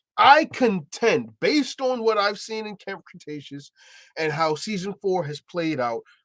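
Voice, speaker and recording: An animated man with lively intonation, in a dry, close sound with no echo. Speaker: movie trailer reactor. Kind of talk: trailer reaction livestream. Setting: livestream.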